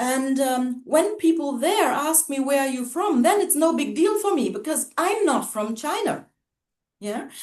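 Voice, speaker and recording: In a German accent, a woman speaks at a fairly slow pace with a high pitch and lively intonation. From Germany, Hamburg. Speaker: racism-sensitive educator. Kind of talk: casual chat.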